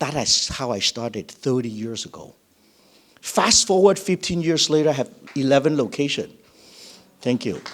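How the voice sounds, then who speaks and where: Speaking in a Chinese accent at a moderate pace, the voice carries lively intonation and big swings in loudness. Long, frequent pauses break up the speech. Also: man, fairly high pitch for a man. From Vietnam. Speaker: education franchise founder. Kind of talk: business pitch.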